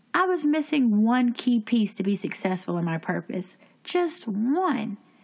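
A woman speaks with a somewhat breathy voice. Her intonation is lively. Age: 20s. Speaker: podcast host and life coach. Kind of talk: casual chat. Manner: scripted narration.

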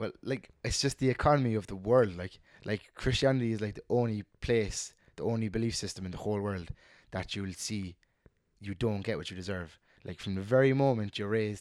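A man with a Cork accent, fairly low-pitched, at a fairly quick pace, on a very clean recording with a silent background. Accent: Cork Irish. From Ireland, Cork. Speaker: lab scientist. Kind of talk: casual chat.

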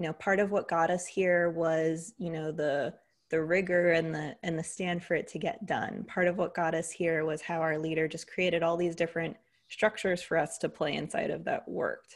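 A woman with an American accent has a normal speaking voice, fairly low in pitch. Her pace is moderate and her intonation fairly even. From US, Greek American family. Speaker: leadership coach. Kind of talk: interview conversation.

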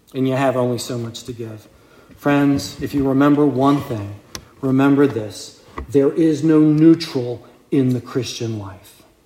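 There is music in the background and audible room echo as a man speaks at a medium pitch with ordinary pitch variation. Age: 50s. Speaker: deacon preaching. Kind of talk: sermon. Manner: conversational.

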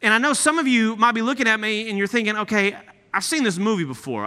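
A man's high, bright and sharp voice with an American accent, raised and projected with lively intonation, in a very clean recording with a silent background. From East Texas (Nacogdoches). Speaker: guest preacher. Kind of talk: sermon. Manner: animated.

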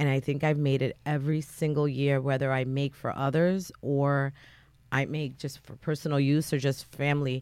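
A woman with an American accent speaks at a moderate pace in a very deep, low voice, her intonation flat and monotone, on a very clean recording with a silent background. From Fair Haven, New Haven, Connecticut. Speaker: home drink maker, contest winner. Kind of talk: radio interview. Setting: radio studio.

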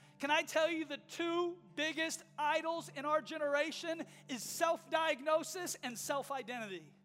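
Music plays in the background. The speaker goes at a fairly slow pace. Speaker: preacher. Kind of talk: sermon. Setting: church. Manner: impassioned, urgent, exhorting the congregation directly; rhetorical repetition, building to a rousing call to action.

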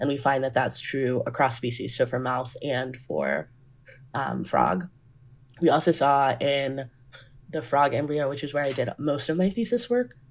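At a moderate pace, a woman with a very deep, low pitch and vocal fry speaks with ordinary pitch variation. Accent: American. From US South, Georgia (Grayson). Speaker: neuroscience postdoctoral researcher. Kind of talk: casual interview.

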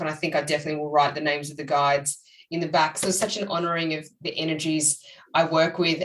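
A woman talks at a very fast pace. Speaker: psychic medium and author. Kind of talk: casual interview chat. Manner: conversational, hesitant, many fillers.

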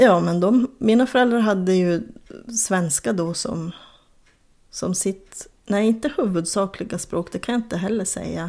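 This woman has a dark, mellow tone at medium pitch. She speaks at a fairly slow pace with lively intonation. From northern Sweden, Kiruna area (Soppero, Lannavaara). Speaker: crime novelist. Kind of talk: interview.

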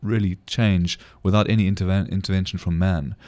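A man speaks at a fairly quick pace with a very deep, low pitch. The recording is very clean, with a silent background. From South Africa. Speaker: winemaker. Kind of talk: interview. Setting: studio.

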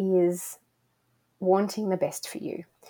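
A woman with an Australian accent speaks at a medium pitch, her tone dark and mellow and her pitch rising and falling in an ordinary way. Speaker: spiritual director. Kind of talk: interview.

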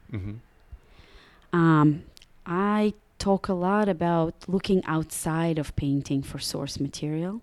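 The recording is very clean with a silent background as a woman speaks fairly slowly in a Russian accent, with ordinary pitch variation. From Russia (Samara). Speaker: painter. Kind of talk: casual interview. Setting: artist's studio.

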